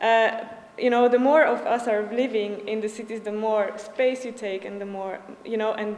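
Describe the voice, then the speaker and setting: A woman with a Slovak accent, fairly high in pitch and fairly even in intonation, amid audible room echo and noticeable background noise. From Slovakia. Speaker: urban design student. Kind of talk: presentation. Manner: fast; halting, many fillers.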